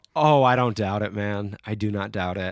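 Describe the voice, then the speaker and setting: Speaking at a moderate pace in an American accent, a man with a fairly low pitch is heard in a very clean recording with a silent background. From Central New York (Syracuse). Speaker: musician and songwriter. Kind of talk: casual chat.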